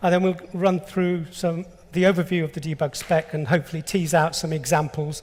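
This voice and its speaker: A man with an English accent speaks at a fairly quick pace in a high pitch, keeping a fairly even intonation. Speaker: engineer presenting a technical specification. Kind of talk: conference talk.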